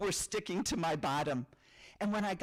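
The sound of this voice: An unforced reading voice fills the recording.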